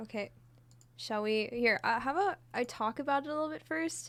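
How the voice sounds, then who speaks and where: A woman speaks softly. Her pitch swings very widely. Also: very clean recording, silent background. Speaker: streamer and singer. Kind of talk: casual live stream chat. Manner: quiet, soft-spoken.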